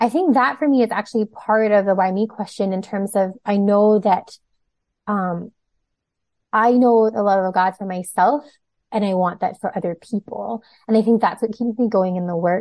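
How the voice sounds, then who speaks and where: A woman with an unremarkable speaking voice talks at a medium pitch and moderate pace with fairly even intonation, the sound dry and close with no echo against a quiet background. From Toronto, Canada. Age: 30s. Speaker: outreach worker. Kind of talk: casual interview.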